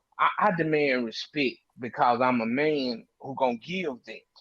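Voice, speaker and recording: A man speaks with lively intonation and big swings in loudness. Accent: Memphis. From Mississippi and Memphis, Tennessee. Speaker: panel guest on a talk stream. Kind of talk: casual group discussion. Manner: animated, repeats words.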